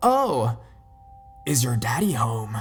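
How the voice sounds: Music runs in the background as a man puts on a raspy character voice at a medium pitch.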